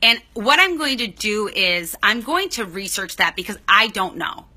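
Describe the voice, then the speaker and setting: This woman talks at a moderate pace in a bright, sharp tone. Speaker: psychologist. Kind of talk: livestream Q&A advice. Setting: livestream. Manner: animated.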